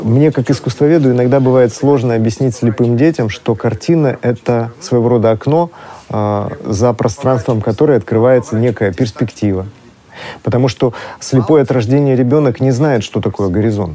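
Ordinary pitch variation and a medium pitch mark this man's speech, delivered at a moderate pace. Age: 40s. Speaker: art historian. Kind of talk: lecture. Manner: sing-song.

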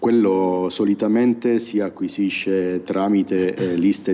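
Very deep, low male voice, its intonation fairly even. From Sicily, province of Siracusa. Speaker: blind software developer. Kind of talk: interview.

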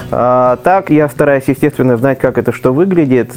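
Music plays behind a man speaking at a moderate pace. His pitch sits in the medium range. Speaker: blind traveler and blogger. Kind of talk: casual chat.

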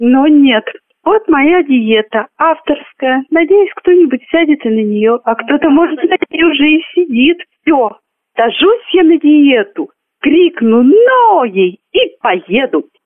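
Very wide pitch swings at a very slow pace, with very even loudness. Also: woman, high pitch for a woman. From Moscow Oblast, Russia. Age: 30s. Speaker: amateur poet. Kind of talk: poetry reading.

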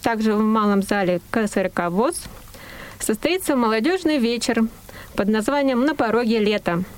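Against noticeable background noise, a woman speaks at a fairly high pitch with very even loudness. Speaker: news reader. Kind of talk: news reading.

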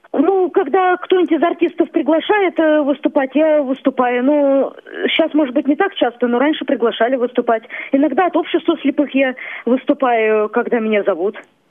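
A woman speaks in a high pitch at a moderate pace, with lively intonation and very even loudness. Noticeable background noise sits behind her. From Kalmykia. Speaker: singer. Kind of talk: phone interview. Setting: phone call.

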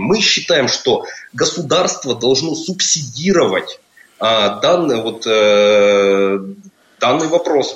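Over noticeable background noise, a man talks at a very slow pace with very wide pitch swings. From Russia, Perm. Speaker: project manager. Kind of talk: radio interview. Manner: halting, many filler sounds.

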